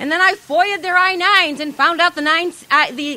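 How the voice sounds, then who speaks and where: A woman speaks in a raised, projected voice at a fairly quick pace amid noticeable background noise. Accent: American. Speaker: activist. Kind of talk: speech at a protest rally. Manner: fast; animated.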